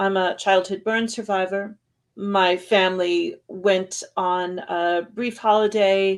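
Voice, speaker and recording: Against a quiet background, a woman of medium pitch talks at a fairly slow pace in an unremarkable speaking voice. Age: 60s. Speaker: psychologist and burn survivor. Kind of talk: interview.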